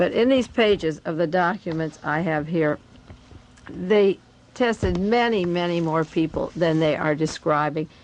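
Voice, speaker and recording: A woman's plain, everyday voice, pitched fairly low, at a fairly slow pace with ordinary pitch variation. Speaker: radio host and conspiracy researcher. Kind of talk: radio talk reading from documents.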